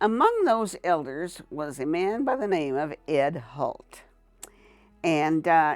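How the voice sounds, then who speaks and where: Speaking at a very slow pace with an American accent, the voice moves through very wide pitch swings. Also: woman. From Colorado, US. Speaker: church member giving testimony. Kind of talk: testimony.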